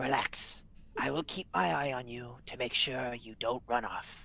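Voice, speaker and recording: Using a put-on character voice, a man speaks raspily at a medium pitch and a moderate pace, with ordinary pitch variation. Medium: actual play. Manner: polite, earnest.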